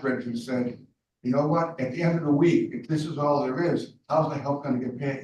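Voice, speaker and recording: The pace is fairly quick, with ordinary pitch variation. A man speaks in a room with audible echo. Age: 70s. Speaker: candidate for county commissioner. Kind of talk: public meeting interview. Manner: repetitive, halting.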